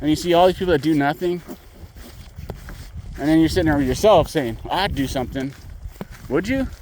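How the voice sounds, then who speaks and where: Over noticeable background noise, a man with a fairly high pitch talks at a fairly quick pace with lively intonation and long, frequent pauses. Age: 50s. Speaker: vlogger, litter picker. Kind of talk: casual vlog monologue.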